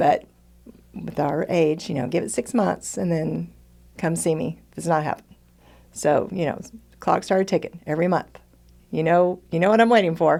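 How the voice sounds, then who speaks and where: A woman speaks with an American accent, vocal fry and a dark, mellow tone. She leaves long, frequent pauses. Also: fairly low pitch for a woman, ordinary pitch variation, moderate pace. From Texas. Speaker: retired teacher turned entrepreneur. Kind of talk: casual interview testimony.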